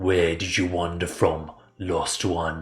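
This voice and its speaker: Very deep, low put-on character voice from a man. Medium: read story. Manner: slow, formal, softly spoken.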